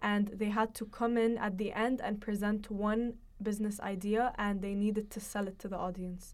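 Monotone, flat intonation at a moderate pace. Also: woman. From Jordan. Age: young. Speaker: university student and startup founder. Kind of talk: interview.

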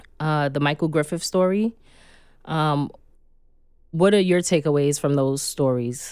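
A woman with a New York accent speaks at a very deep, low pitch and a fairly slow pace, with ordinary pitch variation and long, frequent pauses. The recording is very clean, with a silent background. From Red Hook, Brooklyn, New York. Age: 30s. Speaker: podcast host. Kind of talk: interview.

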